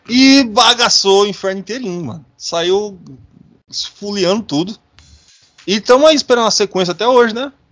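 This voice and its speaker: A man's high-pitched, animated voice with big swings in loudness and long, frequent pauses, music in the background. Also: ordinary pitch variation, moderate pace. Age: 30s. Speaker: podcast host. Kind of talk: casual chat.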